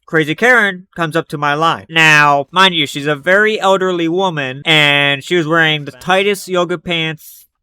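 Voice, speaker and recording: The man has a fairly high pitch and ordinary pitch variation. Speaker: storytime youtuber. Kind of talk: storytelling monologue. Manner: fast; sometimes hard to understand.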